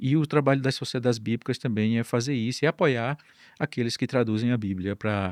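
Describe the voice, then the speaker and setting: The man talks at a fairly quick pace with medium pitch and ordinary pitch variation, in a dry, close sound with no echo and a very clean recording with a silent background. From Northeast Brazil, Campina Grande, Paraíba. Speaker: Bible society distribution director. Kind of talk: podcast interview.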